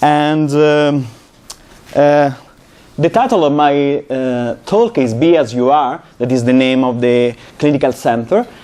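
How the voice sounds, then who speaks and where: A man with an Italian accent speaks in a dark, mellow tone at a fairly high pitch and a fairly slow pace, with very even loudness and ordinary pitch variation. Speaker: psychology professor. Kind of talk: lecture. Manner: halting, many fillers.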